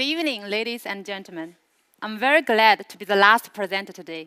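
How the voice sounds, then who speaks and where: In a Chinese accent and a bright, sharp tone, the speaker goes at a moderate pace on a very clean recording with a silent background and a dry, close sound with no echo. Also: woman. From China, Suzhou. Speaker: product presenter. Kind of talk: product launch presentation. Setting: stage with audience.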